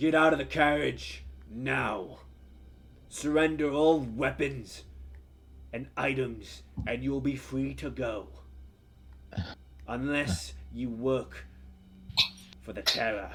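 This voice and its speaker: Over clear background noise, a man puts on a character voice, raised and projected at a medium pitch, moving at a very slow pace with long, frequent pauses. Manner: shouting, commanding, threatening.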